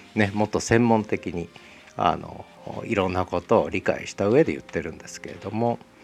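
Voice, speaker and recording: Music plays in the background as a man speaks at a moderate pace with a fairly low pitch. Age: 60s. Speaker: podcast host. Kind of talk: solo book talk.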